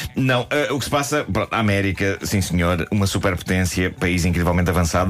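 Noticeable background noise sits behind a man whose voice is very deep and low. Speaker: comedy podcast host. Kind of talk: comedic casual chat.

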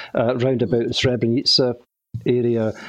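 A man with a Glaswegian accent, at medium pitch. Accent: Glaswegian Scottish. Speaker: retired mortuary technician. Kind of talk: interview testimony.

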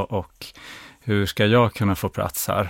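The recording is very clean with a silent background, and a man speaks at a fairly low pitch. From rural Sweden. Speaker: therapy client. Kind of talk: therapy session. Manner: halting.

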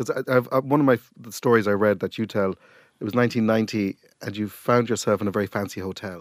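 A man's fairly quick, fairly even-toned speech, dry and close with no echo, on a very clean recording with a silent background. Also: fairly low pitch for a man. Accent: Cork. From Ireland. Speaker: podcast host. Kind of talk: casual interview chat.

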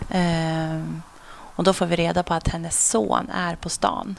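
Very slow speech from a woman, with noticeable background noise behind it. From Sweden, Sundsvall, later Umeå and Uppsala. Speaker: police officer. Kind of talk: casual interview. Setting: at home.

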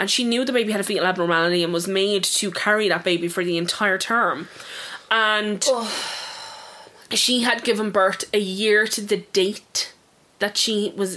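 A woman speaks in an Irish accent at a moderate pace. Her medium pitch shows ordinary variation. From Ireland. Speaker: true crime podcast co-host. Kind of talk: casual chat.

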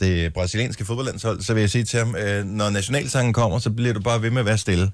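This man has a normal speaking voice, fairly low in pitch, with fairly even intonation. He talks at a fairly quick pace on a very clean recording with a silent background. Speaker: radio host. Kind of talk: casual chat. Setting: studio.

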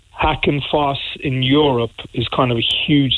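At a very slow pace, a man with a fairly high pitch talks with ordinary pitch variation. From Ireland, Cork. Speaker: MMA promoter. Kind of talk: phone interview. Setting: phone call.

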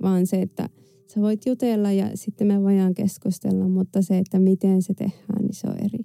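With a dark, mellow tone, a woman talks at a medium pitch and moderate pace in a monotone, flat intonation. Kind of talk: personal testimony. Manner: halting, many filler words.

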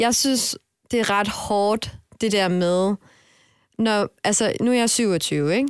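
In a very clean recording with a silent background and a dry, close sound with no echo, a woman speaks at a very slow pace with a fairly high pitch and ordinary pitch variation. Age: 20s. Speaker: podcast co-host. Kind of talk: casual chat.

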